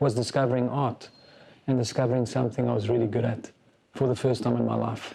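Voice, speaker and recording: Over noticeable background noise, a man rattles along at a very fast pace in a flat monotone, his loudness very even. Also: medium pitch for a man. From South Africa. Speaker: business founder and CEO. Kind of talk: interview.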